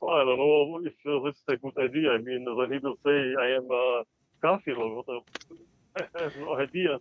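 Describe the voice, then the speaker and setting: A man's fairly high pitch in an Albanian accent, at a moderate pace with fairly even intonation, big swings in loudness and long, frequent pauses. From Balkans (Kosovo / Macedonia). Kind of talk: live call-in debate. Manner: halting, many fillers.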